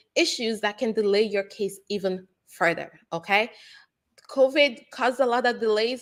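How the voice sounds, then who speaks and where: Here is a woman with an American accent, her pitch fairly high and her pace fairly slow. She has an ordinary speaking voice. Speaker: immigration lawyer. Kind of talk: live Q&A chat.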